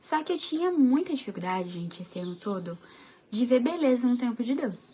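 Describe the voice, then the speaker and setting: A soft-spoken woman's high-pitched voice, fairly quick in pace, with very wide pitch swings. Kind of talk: casual devotional talk to camera.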